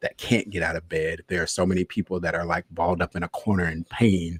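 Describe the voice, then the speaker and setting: A man with an American accent speaks at a fairly quick pace in a very deep, low voice. His intonation stays monotone and flat, and the sound is dry and close with no echo. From US South (Tallahassee, Florida). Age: 40s. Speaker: cancer survivor, podcast guest. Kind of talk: interview testimony.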